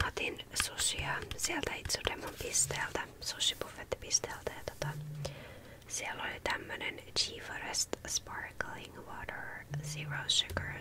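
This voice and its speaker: Someone whispers at a very slow pace. Background noise is noticeable throughout. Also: woman. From Helsinki, Finland. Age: 20s. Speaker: ASMR artist. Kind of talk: ASMR Q&A talk to camera. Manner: soft-spoken, casual.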